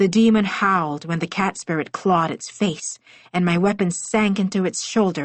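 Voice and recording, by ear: Someone reading aloud in a natural voice.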